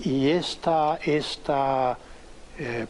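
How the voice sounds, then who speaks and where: The man's voice sits at a medium pitch and keeps fairly even intonation. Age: 60s. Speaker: former foreign minister, political commentator. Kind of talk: interview.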